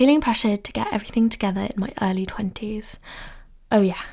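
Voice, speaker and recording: A woman with a somewhat breathy, fairly high-pitched voice talks very fast with fairly even intonation, broken by long, frequent pauses. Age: 20s. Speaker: podcast host. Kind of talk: casual chat.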